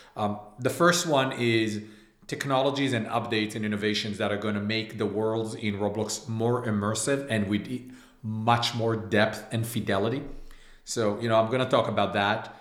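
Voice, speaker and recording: Audible room echo colors a man's medium-pitched voice. He keeps a fairly even intonation at a moderate pace. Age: 30s. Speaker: game studio founder. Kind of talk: casual chat.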